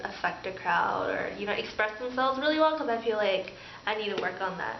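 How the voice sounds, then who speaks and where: A woman speaks at a fairly high pitch, her voice carrying audible room echo over noticeable background noise. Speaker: pharmacy student. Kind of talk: casual vlog chat. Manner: animated.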